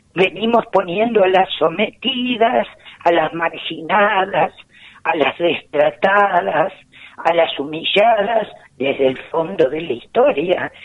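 Noticeable background noise accompanies a woman speaking at a very slow pace in a medium pitch. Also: lively intonation. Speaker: lawyer, gender issues specialist. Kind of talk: phone interview.

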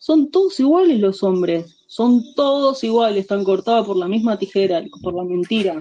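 In an Argentine accent, a woman speaks at a fairly high pitch with a dark, mellow tone. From Argentina. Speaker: friend of the host, guest. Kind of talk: casual chat.

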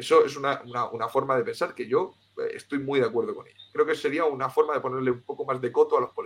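Very fast speech from a man, loudness rising and falling sharply. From Spain, Cartagena (Murcia). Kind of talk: interview. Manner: halting, with many repetitions.

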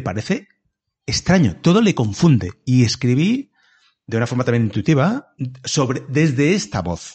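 His voice swings very widely in pitch, and this man sounds somewhat breathy. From Valencia region, Spain (small town). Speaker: comedian. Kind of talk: casual interview chat. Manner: halting, many repetitions.

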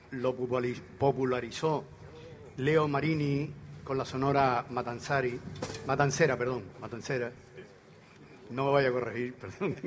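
A man's medium-pitched voice, fairly slow and fairly even in intonation, with audible room echo and noticeable background noise. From Canary Islands. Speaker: folk group member and song presenter. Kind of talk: live concert stage announcements. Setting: outdoor stage in a town square with audience.

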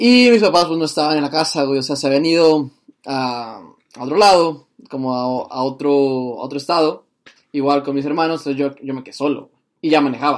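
At a moderate pace and with ordinary pitch variation, this is an unremarkable speaking voice. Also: man, fairly high pitch for a man. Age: 20s. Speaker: podcast host. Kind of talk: casual chat.

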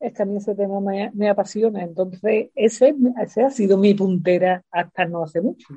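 At a moderate pace, a woman speaks in a medium pitch with ordinary pitch variation, a somewhat breathy voice and a dark, mellow tone. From Spain, Seville. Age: 60s. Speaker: retired teacher. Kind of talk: interview.

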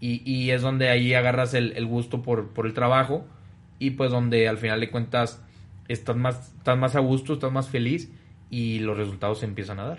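A man's voice sits at medium pitch, keeping fairly even intonation and a moderate pace. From Monterrey, northern Mexico. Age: 20s. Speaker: family business executive. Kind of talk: podcast interview. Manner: hesitant, many fillers.

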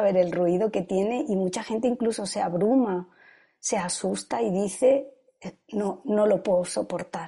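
Against a quiet background, a somewhat breathy woman speaks at a fairly slow pace with ordinary pitch variation. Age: 50s. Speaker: yoga and meditation teacher. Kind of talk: testimony. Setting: video call.

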